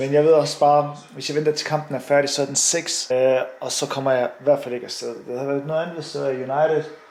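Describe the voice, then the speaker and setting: Over noticeable background noise, a man with a fairly high pitch talks at a very fast pace with hardly any pauses. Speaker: fitness vlogger and Hyrox athlete. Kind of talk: casual vlog. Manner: animated.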